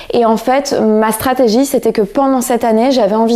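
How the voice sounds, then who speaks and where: Her intonation monotone and flat, a woman talks at a moderate pace and a fairly high pitch. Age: 30s. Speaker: real estate investor, former consultant. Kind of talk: interview.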